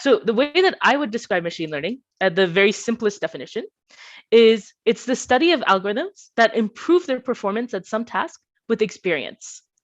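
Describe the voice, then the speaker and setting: A woman speaks in a Bay Area accent with a fairly high pitch and very wide pitch swings. The background is quiet. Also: moderate pace. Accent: American, Bay Area. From US West Coast, Bay Area California. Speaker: PhD student, machine learning researcher. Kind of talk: conference talk.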